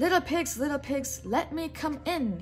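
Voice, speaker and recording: Clear background music beneath a put-on character voice. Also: woman, high pitch for a woman. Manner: sweet, feigned.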